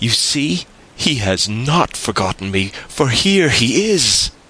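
Using a put-on character voice, a man speaks slowly at a medium pitch, his bright, sharp tone carrying a slightly husky edge and big pitch swings.

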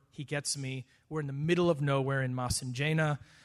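Against a quiet background, a man with an American accent speaks at a moderate pace with fairly even intonation. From US Midwest, Wisconsin. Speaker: missionary. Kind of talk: interview.

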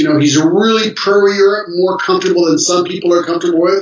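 A man talks at a very fast pace with a high pitch. His intonation is lively. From Geneva area, Switzerland/France border. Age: 60s. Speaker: pastor. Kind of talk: casual chat.

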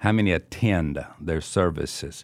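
In a very clean recording with a silent background, a man with an American accent speaks at a fairly slow pace in a very deep, low pitch with ordinary pitch variation. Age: 70s. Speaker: senior pastor. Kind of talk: interview conversation. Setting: studio.

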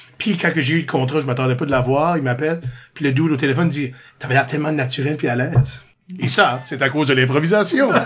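Over noticeable background noise, the voice moves at a fairly quick pace with ordinary pitch variation and big swings in loudness. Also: man, fairly high pitch for a man. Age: 40s. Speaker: improviser and drama teacher. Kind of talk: casual chat.

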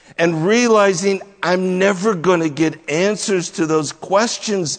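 Noticeable background noise sits behind a man who speaks at a high pitch. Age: 60s. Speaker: pastor. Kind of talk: sermon.

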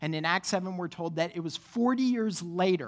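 The delivery proceeds at a moderate pace. It is an ordinary speaking voice. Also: woman. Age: 30s. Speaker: pastor. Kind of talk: sermon. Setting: church.

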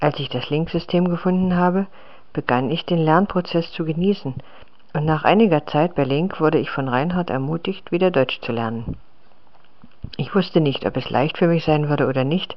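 A non-native accent colors the speech. It moves along at a moderate rate. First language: not German (speaking German). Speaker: language learner. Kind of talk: reading aloud.

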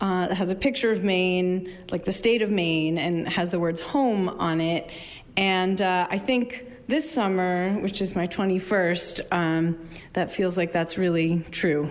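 With audible room echo, a woman speaks at a medium pitch and fairly slow pace, with ordinary pitch variation. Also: very even loudness. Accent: American. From Arizona. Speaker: librarian and community organizer. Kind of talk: storytelling performance. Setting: stage with audience. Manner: halting, many fillers.

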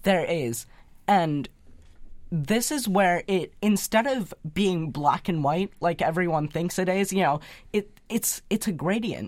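In a plain, everyday voice at medium pitch, a woman speaks at a fairly slow pace with lively intonation. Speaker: youth speaker. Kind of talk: radio interview. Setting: studio.

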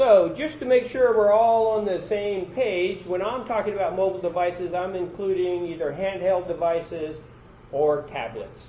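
A loud man with a high pitch, ordinary pitch variation and a moderate pace. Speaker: conference presenter. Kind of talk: conference breakout session talk. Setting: conference room with audience.

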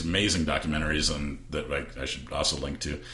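A man talks through noticeable background noise. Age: 40s. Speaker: podcast host. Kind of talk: casual chat.

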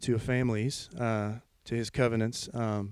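A man speaks with a Memphis accent at a medium pitch. His intonation is monotone and flat. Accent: Southern US (Memphis). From Memphis, Tennessee (US South). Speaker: church music leader. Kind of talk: testimony. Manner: halting.

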